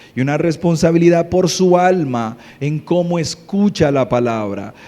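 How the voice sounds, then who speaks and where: There is noticeable background noise as a man speaks in a fairly high voice at a fairly slow pace. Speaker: pastor. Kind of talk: sermon. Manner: soft-spoken.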